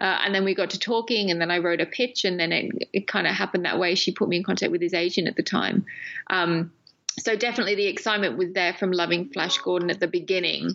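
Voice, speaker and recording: With noticeable background noise behind her, a woman with an English accent and a medium pitch speaks very fast, her intonation fairly even and her loudness very even. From England. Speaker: documentary filmmaker. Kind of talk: interview. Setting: remote call.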